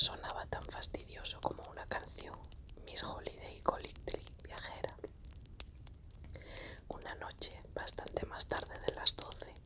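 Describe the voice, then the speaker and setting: A woman whispers at a fairly slow pace with long, frequent pauses and big swings in loudness. Noticeable background noise is present. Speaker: ASMR reader. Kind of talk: whispered audiobook reading, ASMR. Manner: whispered, soft-spoken.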